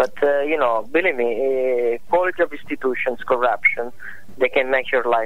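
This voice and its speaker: A man with an Italian accent speaks at a moderate pace in a medium pitch, his pitch varying in an ordinary way over noticeable background noise. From Italy. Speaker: economist. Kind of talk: phone interview. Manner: halting.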